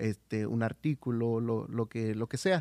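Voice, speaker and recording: An ordinary speaking voice from a man at medium pitch, fairly even in intonation and fairly slow, in a very clean recording with a silent background and a dry, close sound with no echo. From Oaxaca, Mexico. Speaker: church volunteer on radio ministry. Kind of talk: casual chat.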